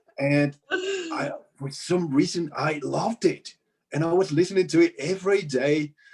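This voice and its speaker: The intonation stays fairly even while the words come at a moderate pace. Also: man, high pitch for a man. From Mexico. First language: Spanish. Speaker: composer and music teacher. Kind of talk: casual interview chat. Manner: halting, many fillers.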